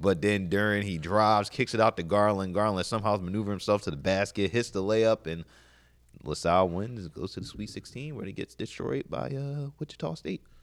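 A man with a normal speaking voice, lively intonation and a fairly quick pace. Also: fairly low pitch for a man. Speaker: sports radio cohost guest. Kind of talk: casual sports talk. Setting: studio.

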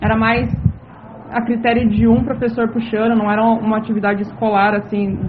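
Monotone, flat intonation at a moderate pace, with audible room echo and noticeable background noise. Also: woman. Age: 30s. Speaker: city councillor. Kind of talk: interview.

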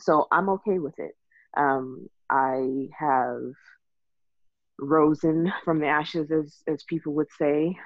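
A woman speaks at a very slow pace in a Texan accent. Her pitch is very deep and low, and her intonation is fairly even. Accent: Texan American English. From Texas. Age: 30s. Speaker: IT worker and mother. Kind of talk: casual interview.

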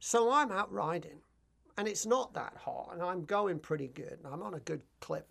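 A man with a high pitch, very wide pitch swings and a moderate pace. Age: 50s. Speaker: charity cyclist. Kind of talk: radio interview. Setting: studio. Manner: halting.

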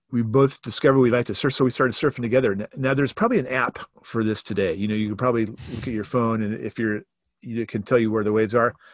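A man with an American accent talks very fast at a medium pitch with fairly even intonation. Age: 60s. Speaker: church staff member and author. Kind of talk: casual interview conversation.

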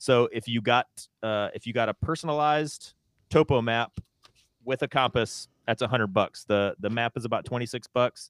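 The sound is dry and close, with no echo. Delivery moves at a moderate pace. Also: man, medium pitch for a man, fairly even intonation. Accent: Southern US. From US South, North Carolina. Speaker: podcast co-host. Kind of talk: casual chat.

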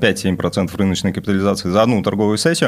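Delivering his words at a very fast pace, a man speaks with a fairly low pitch. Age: young. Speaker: stockbroker. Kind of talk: casual chat.

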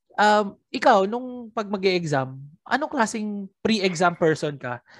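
A woman with a plain, everyday voice speaks at a fairly slow pace with lively intonation against a quiet background. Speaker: podcast host. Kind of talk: casual chat. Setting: remote call.

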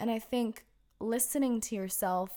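In a very clean recording with a silent background, a woman speaks at a fairly slow pace and fairly high pitch, her tone warm, dark and mellow, her intonation fairly even. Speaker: podcast host. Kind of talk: pep talk. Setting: solo podcast recording. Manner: warm, encouraging, conversational; earnest, fluent, with informal filler phrases.

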